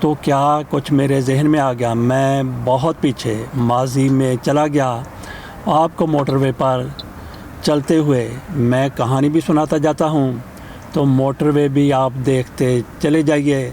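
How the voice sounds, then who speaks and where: A man with a fairly high pitch speaks with fairly even intonation and very even loudness. Noticeable background noise sits behind him. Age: 60s. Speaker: vlogger. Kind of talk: storytelling voice-over. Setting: in a car on the motorway.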